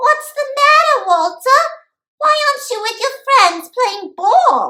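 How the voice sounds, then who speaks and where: A female-sounding put-on character voice, extremely high and squeaky. The pace is fairly slow. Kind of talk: bedtime story. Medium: read story. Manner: warm, nurturing.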